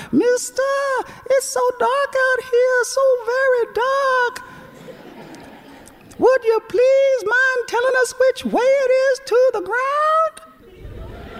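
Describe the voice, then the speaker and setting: A squeaky put-on character voice at an extremely high pitch moves at a very slow pace with long, frequent pauses over clear background noise. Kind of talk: folksy tall-tale. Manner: scared, pleading.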